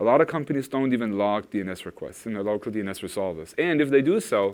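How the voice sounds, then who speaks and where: Against a quiet background, a man talks at a very fast pace with a medium pitch and ordinary pitch variation. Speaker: product manager presenting at a tech conference. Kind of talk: conference talk. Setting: stage with audience. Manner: hesitant, many fillers.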